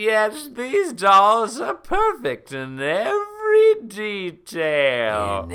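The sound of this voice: A put-on character voice, raspy and fairly high-pitched, at a very slow pace with hardly any pauses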